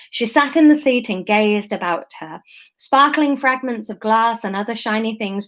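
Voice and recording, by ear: Someone reads aloud. The voice is natural.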